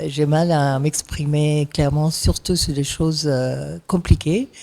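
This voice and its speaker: A woman with a non-native accent speaks at a very deep, low pitch, in a dark, mellow tone. Her intonation stays fairly even, and the recording is very clean with a silent background. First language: not French (speaking French). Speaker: activist speaker. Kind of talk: panel talk. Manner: halting, many fillers.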